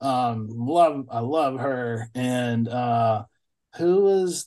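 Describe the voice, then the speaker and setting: With a Mississippi accent, a man speaks at a medium pitch. His intonation is lively, and the background is quiet. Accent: Southern US (Mississippi). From US South, Mississippi (Bolton). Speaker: blues musician. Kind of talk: casual interview chat.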